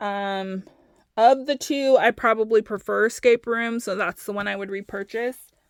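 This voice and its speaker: A woman with a plain, everyday voice speaks at a fairly high pitch with ordinary pitch variation. The sound is dry and close, with no echo. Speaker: wax melt reviewer. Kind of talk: casual product review.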